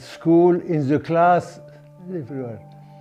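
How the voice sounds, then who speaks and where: A man's fairly even intonation over music in the background. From Sudan. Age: 80s+. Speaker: oral history interviewee. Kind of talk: life story interview. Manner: halting.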